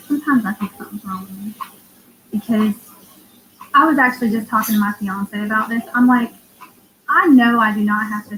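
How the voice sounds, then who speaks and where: A woman talks at a fairly quick pace with a fairly high pitch. Her pitch varies in an ordinary way, and there is noticeable background noise. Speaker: tarot reader and astrology livestreamer. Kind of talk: casual livestream chat. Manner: blunt, can sound insensitive.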